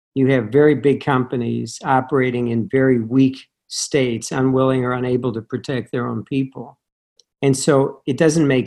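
A man's medium-pitched voice moves at a moderate pace, its intonation fairly even. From US Midwest, Chicago. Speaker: professor, human rights advocate. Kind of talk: interview.

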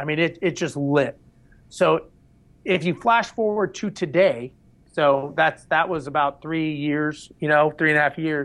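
An unremarkable speaking voice, a man with an American accent talks fairly slowly at a fairly high pitch with ordinary pitch variation, the background quiet. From US West Coast, Los Angeles. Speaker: airline pilot and property management business owner. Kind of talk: interview.

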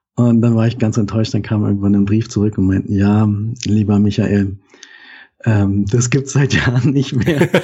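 Somewhat breathy male speech at a moderate pace, with very even loudness and ordinary pitch variation. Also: fairly low pitch for a man. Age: 40s. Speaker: IT worker and columnist. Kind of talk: casual chat. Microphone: good-sounding microphone.

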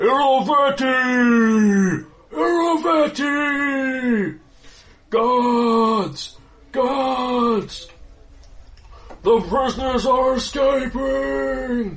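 Using a put-on character voice, a man speaks at an extremely high pitch and a very slow pace, with long, frequent pauses.

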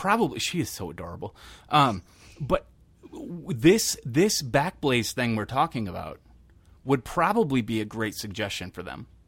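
A man talks at a moderate pace and a medium pitch, with very wide pitch swings and vocal fry. The recording is very clean, with a silent background. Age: 30s. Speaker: podcast co-host. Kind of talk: casual chat.

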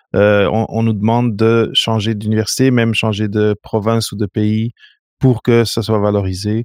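With a Portuguese accent, a man speaks at a fairly low pitch and a moderate pace, keeping his intonation fairly even. The sound is dry and close with no echo, in a very clean recording with a silent background. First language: Portuguese (speaking French). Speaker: podcast host. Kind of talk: interview. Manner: halting.

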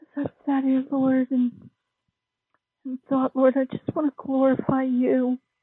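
At a fairly slow pace, a woman speaks in a high voice with monotone, flat intonation. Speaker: caller. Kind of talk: fervent prayer. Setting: phone call.

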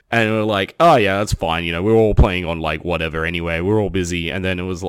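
Speaking with an Australian accent, a man uses a very deep, low voice. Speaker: tabletop wargame player and podcaster. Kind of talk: casual interview.

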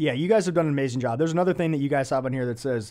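In an American accent, a man speaks at a fairly high pitch with a dark, mellow tone and ordinary pitch variation. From Atlanta, US South. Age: 30s. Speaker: podcast host. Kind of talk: casual interview.

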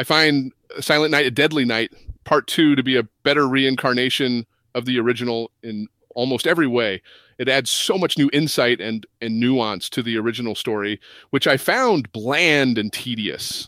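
A plain, everyday voice from a man, medium-pitched, at a moderate pace with ordinary pitch variation, in a very clean recording with a silent background and a dry, close sound with no echo. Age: 40s. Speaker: film podcast host. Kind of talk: casual chat.

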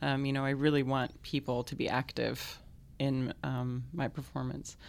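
A woman with a very deep, low pitch speaks in an American accent on a very clean recording with a silent background. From US California. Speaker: opera singer. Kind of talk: casual interview chat. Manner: energetic, irrepressible.

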